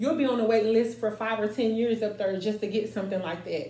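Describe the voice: A woman's medium-pitched, dark, mellow voice at a fast pace, with fairly even intonation and audible room echo.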